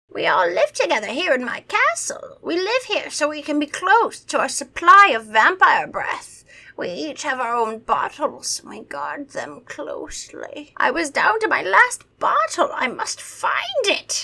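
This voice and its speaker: Extremely high pitch in a put-on character voice, delivered at a moderate pace. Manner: theatrical, menacing.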